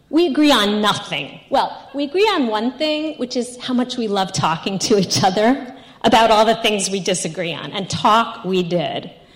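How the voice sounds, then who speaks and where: A woman with an American accent talks at a moderate pace in a fairly high voice whose pitch swings very widely, with noticeable background noise behind her. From New York. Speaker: storyteller. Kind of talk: personal storytelling.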